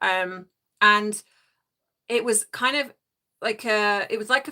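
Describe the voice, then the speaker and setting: Her tone bright and sharp, a woman talks with a British accent. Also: very clean recording, silent background. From England. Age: 50s. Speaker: life coach and live streamer. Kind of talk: casual live chat reading comments. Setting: livestream from home.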